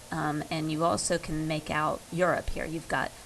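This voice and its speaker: A woman talks at a moderate pace. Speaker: history teacher. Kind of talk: lecture. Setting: recorded over slides. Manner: hesitant, many fillers.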